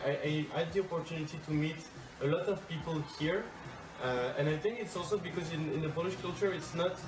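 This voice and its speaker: Music plays in the background as a man speaks at a moderate pace, with audible room echo. His pitch is fairly high, with ordinary variation. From France, big cities. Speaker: foreign volunteer in Poland. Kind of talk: interview answers.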